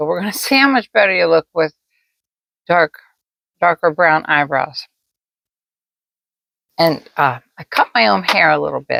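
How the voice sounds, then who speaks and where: Speaking with an American accent, a woman uses a fairly low pitch with vocal fry and very wide pitch swings. She goes at a moderate pace with long, frequent pauses, in a dry, close sound with no echo. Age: 70s. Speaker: makeup tutorial creator. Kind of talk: casual talk to camera, makeup tutorial.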